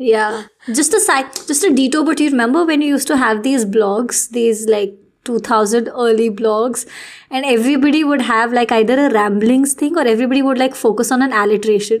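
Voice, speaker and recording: A woman with an Indian accent talks at a fairly quick pace in a high voice. Her pitch varies in an ordinary way, and her loudness stays very even. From Delhi, India. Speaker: podcast host. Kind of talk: casual chat.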